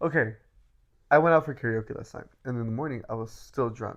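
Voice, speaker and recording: A man speaks with ordinary pitch variation. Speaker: podcast co-host. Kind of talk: casual chat. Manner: casual, filler-heavy.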